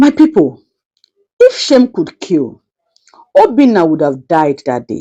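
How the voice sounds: A woman at a slow pace, fairly low in pitch, with a dark, mellow tone and big pitch swings.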